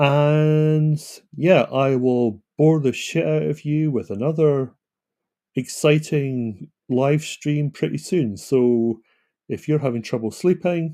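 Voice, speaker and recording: A dark, mellow tone at a very slow pace. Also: man, fairly high pitch for a man, ordinary pitch variation. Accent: Scottish. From Scotland. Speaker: author and self-publishing consultant. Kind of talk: live stream monologue. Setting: home computer live stream. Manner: casual, hesitant with fillers.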